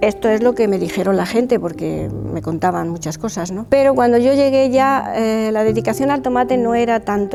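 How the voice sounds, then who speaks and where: Noticeable background noise sits behind a woman talking at a fairly quick pace and medium pitch with lively intonation. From Spain, Salamanca (Castile). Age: 70s. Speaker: retired schoolteacher. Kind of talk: oral history interview. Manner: halting.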